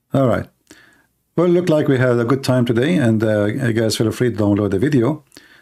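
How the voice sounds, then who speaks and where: In a very clean recording with a silent background, a man with a dark, mellow tone and medium pitch talks at a fairly quick pace with ordinary pitch variation. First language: not English. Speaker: livestream host, religious debater. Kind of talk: casual livestream monologue. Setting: live stream.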